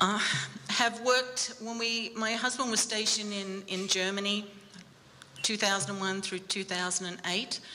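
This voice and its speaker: A woman's medium-pitched voice, fairly even in intonation, comes through against noticeable background noise. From Australia. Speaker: bereaved military mother, army family support worker. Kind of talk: personal testimony talk. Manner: halting, many fillers.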